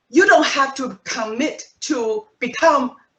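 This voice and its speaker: A woman speaks in a high pitch with a non-native accent. Her voice makes very wide pitch swings. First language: not English. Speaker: Toastmasters club presenter. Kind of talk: presentation to club members. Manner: conversational, some false starts.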